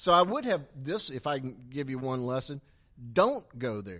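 A man with an American accent speaks in a normal speaking voice at a medium pitch and a fairly slow pace. The background is quiet. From South Carolina, later Tampa, Florida. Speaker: marketing agency founder and soccer club owner. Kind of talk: onstage interview before audience. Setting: event room with live audience.

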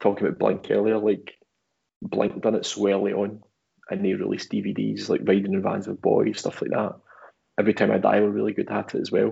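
Fairly quick speech with a Glaswegian accent. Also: man. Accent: Glaswegian Scottish. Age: 30s. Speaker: photographer and guitarist. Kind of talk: casual chat.

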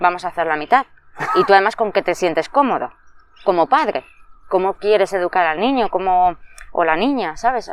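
Long, frequent pauses from a woman at a medium pitch, with lively intonation. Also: fairly quick pace. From Madrid, Spain. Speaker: early childhood educator. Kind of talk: interview.

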